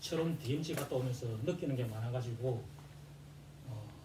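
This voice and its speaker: Audible room echo and noticeable background noise accompany a man speaking with ordinary pitch variation. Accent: strong Gyeongsang. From South Korea, Gyeongsang (Jinju). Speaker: presenter at academic seminar. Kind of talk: seminar presentation. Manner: hesitant, many fillers.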